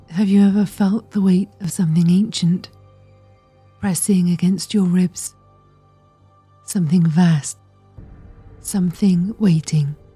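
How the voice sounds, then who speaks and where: A woman's medium-pitched voice at a fairly slow pace, with fairly even intonation and long, frequent pauses, over music in the background. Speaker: meditation guide, certified therapist. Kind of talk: guided meditation, ritual. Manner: hypnotic, soft-spoken, slow.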